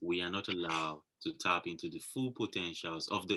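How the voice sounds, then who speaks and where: A man speaks with a Nigerian accent. His pace is moderate. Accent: Nigerian (Yoruba) English. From Nigeria, Yoruba. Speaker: fashion model. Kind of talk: interview.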